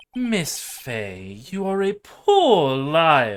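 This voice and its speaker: A put-on character voice at a middle pitch with very wide pitch swings. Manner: theatrical, pompous, menacing.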